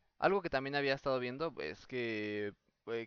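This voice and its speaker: A man talks at a moderate pace in an ordinary speaking voice. His pitch is medium, with ordinary variation. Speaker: podcast host. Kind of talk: casual chat. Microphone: own voice recorded too quiet.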